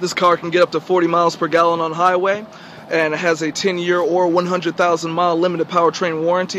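A man talks at a moderate pace with a high pitch. The sound is dry with no echo and carries light background noise. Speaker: car dealership salesperson. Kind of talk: dealership sales pitch, video demo. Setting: in car driver's seat, video walkthrough. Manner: upbeat, salesy, clear, brisk; rehearsed, feature-list delivery with occasional uh fillers. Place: street. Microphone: phone near.

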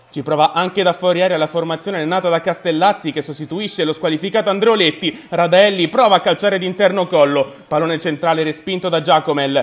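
In an animated tone, a man with a high pitch talks at a very fast pace with hardly any pauses. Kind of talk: sports commentary. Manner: fast, clipped play-by-play narration; animated, rising excitement at the late winning goal.

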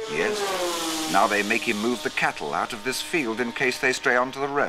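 With music in the background, a man speaks at a moderate pace and medium pitch, his intonation lively. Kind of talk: 1960s documentary narration. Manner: formal, measured, polished BBC-style narrator.

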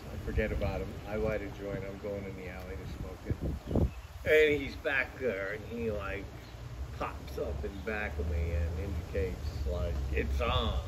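A man at a fairly slow pace amid loud background noise. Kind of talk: interview answer. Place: street. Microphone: camera far.

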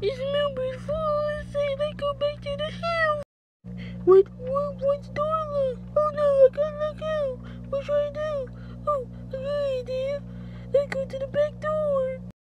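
Over faint music in the background, a cartoonish character voice speaks at a moderate pace. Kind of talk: puppet show character voice. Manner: excited.

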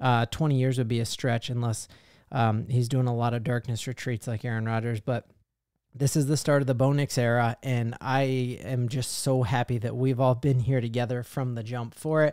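A man speaks with an American accent at a moderate pace. The background is quiet and the sound is dry with no echo. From Colorado. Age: 30s. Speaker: sports YouTuber, fan channel host; sports fan commentator. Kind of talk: sports commentary monologue to camera. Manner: animated, excited; frequent fillers (um, uh). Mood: happy, celebratory. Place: home room. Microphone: studio mic.

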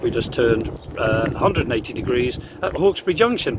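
A man's voice sounds dry with no echo, though noticeable background noise is present. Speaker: narrowboat vlogger. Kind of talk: casual vlog chat. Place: waterside. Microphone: phone near.

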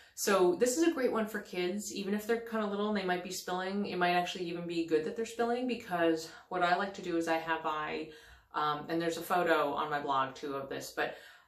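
A woman's fairly low voice at a fairly quick pace, with ordinary pitch variation and audible room echo. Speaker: parenting blogger. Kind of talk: tutorial. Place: bathroom. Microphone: phone near.

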